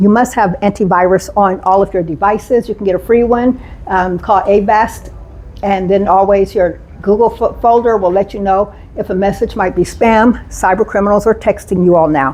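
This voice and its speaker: A woman speaks at a medium pitch with fairly even intonation. Noticeable background noise runs underneath. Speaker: cybersecurity trainer. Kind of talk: presentation. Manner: fast; loud.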